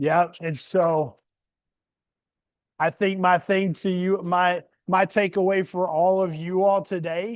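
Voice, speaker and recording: A man with a Southern US accent speaks in a high pitch with fairly even intonation against a quiet background. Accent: Southern US country. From US South. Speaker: community leader reading to children. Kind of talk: storytime talk to children. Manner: casual, folksy.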